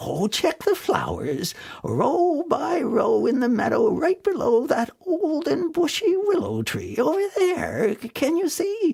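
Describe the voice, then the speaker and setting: Putting on a character voice, a man speaks at an extremely high pitch and a fairly slow pace. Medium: read story.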